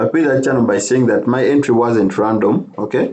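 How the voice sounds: A man's medium-pitched voice with a slightly mellow tone at a moderate pace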